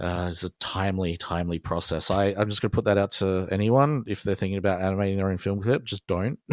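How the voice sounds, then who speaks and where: Speaking very fast with hardly any pauses, a man with an Australian accent and a fairly low pitch keeps his intonation fairly even in a dry, close recording with no echo. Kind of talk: casual interview chat. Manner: hesitant, many fillers.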